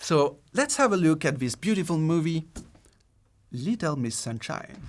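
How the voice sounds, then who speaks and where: A man with a French accent talks at a fairly slow pace, his pitch fairly high and his intonation lively. The recording is very clean, with a silent background. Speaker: screenwriting video essayist. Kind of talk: video essay podcast narration.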